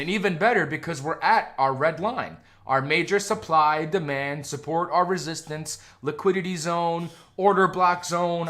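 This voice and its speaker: A man with an American accent speaks at a moderate pace in a high pitch, his pitch varying an ordinary amount. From New York (born New Jersey). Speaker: stock trading streamer. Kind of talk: live trading stream with chat. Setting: live stream. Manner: casual, profane, excitable.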